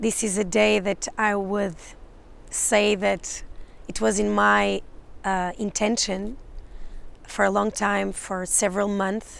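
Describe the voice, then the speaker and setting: A woman with a Portuguese accent speaks at a very slow pace, leaving long, frequent pauses. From Portugal. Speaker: psychic and spiritual mentor. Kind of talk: channeled energy update monologue. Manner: halting, many fillers and restarts.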